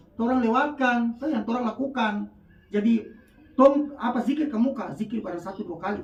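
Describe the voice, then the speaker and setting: Speaking at a fairly quick pace in a North Maluku accent, the voice comes through noticeable background noise. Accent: North Maluku Malay. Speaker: PKK competition judge. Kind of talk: religious advice talk.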